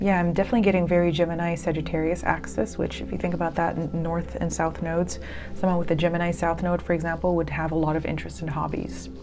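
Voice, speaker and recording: A woman talks at a very fast pace with hardly any pauses. Noticeable background noise and audible room echo fill the recording. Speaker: tarot card reader. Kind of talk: tarot reading. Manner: hesitant, many fillers.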